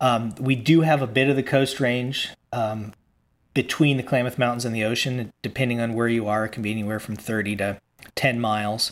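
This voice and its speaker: An ordinary speaking voice with an American accent moves at a fairly quick pace, its intonation fairly even. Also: man, medium pitch for a man. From Virginia, US. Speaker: author and educator. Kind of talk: interview.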